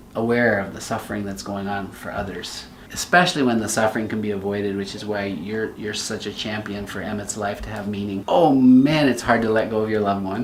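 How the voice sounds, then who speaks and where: With a warm tone and a fairly low pitch, a man talks at a fairly quick pace with ordinary pitch variation, amid audible room echo and noticeable background noise. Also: big swings in loudness. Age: 60s. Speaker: pediatrician, medical video host. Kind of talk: interview conversation. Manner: warm, empathetic.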